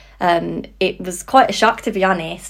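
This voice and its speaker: On a very clean recording with a silent background, a woman with a British accent speaks at a moderate pace in a medium pitch, with vocal fry. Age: 20s. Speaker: psychology graduate and support worker. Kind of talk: casual interview chat.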